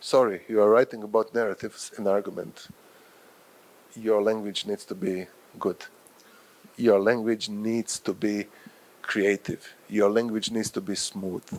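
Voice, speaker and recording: Speaking at a fairly slow pace with long, frequent pauses, a man uses fairly even intonation in a fairly low voice. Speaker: professor and journal editor. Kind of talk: lecture. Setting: workshop with live audience.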